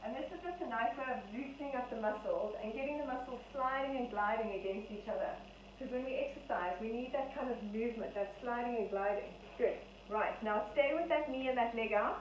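Amid audible room echo and light background noise, a high-pitched woman talks at a fairly quick pace with ordinary pitch variation. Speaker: fitness instructor. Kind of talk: exercise class instruction. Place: home room. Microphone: camera far.

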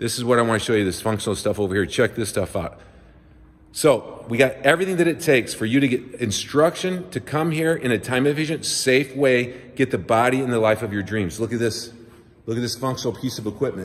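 A man's animated voice at medium pitch, fairly quick in pace, with ordinary pitch variation. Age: 50s. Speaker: personal trainer. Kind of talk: promotional video tour. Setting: walking through a gym. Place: gym. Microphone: phone near.

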